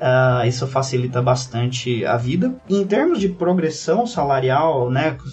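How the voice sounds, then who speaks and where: Noticeable background noise under a man's voice, medium in pitch and ordinary in its variation. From Brazil, interior of São Paulo state. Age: 20s. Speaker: cloud manager. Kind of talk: podcast interview.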